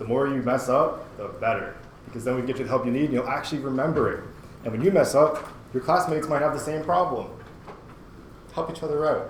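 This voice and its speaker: A man with a fairly high pitch talks at a very fast pace but with long, frequent pauses. Noticeable background noise and audible room echo fill the recording. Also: fairly even intonation. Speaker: university instructor. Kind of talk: lecture. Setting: classroom. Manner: casual.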